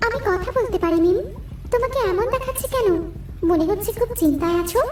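A cartoonish character voice sits at an extremely high pitch and a moderate pace. Clear background noise is heard behind it. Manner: warm, reassuring.

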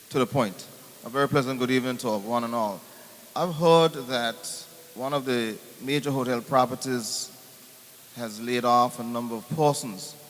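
In an Anguillan accent, the speaker goes at a moderate pace with fairly even intonation and long, frequent pauses, over noticeable background noise. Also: man, medium pitch for a man. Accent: Anguillan Caribbean English. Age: 60s. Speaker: audience member asking questions. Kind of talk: town hall question. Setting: town hall meeting.

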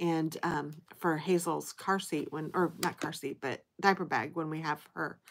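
This woman's voice sits very deep and low, with vocal fry throughout. She talks at a moderate pace in a flat monotone. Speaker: haul vlogger. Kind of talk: casual vlog chat. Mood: cheerful, amused. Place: home room. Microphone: phone near.

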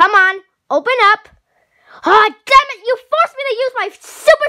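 A man's cartoonish character voice with very wide pitch swings. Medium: puppet.

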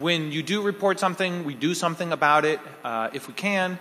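A man speaks with a bright, sharp tone at a moderate pace. His pitch varies in an ordinary way. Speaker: hacker conference founder and organizer. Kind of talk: closing ceremony speech. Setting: stage with audience. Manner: casual, filler-heavy. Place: hall. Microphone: podium.

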